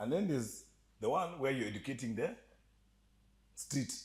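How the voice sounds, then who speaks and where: With an animated tone and very wide pitch swings, a man talks at a fairly quick pace, his voice showing vocal fry. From Kenya. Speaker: entertainment industry guest. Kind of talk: casual podcast chat.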